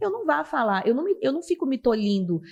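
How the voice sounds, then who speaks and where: A woman speaks with a strong Pará accent at a fairly quick pace. Her pitch swings very widely. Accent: strong Belém (Pará). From Brazil, Belém (Pará). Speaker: TV news presenter. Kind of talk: podcast interview.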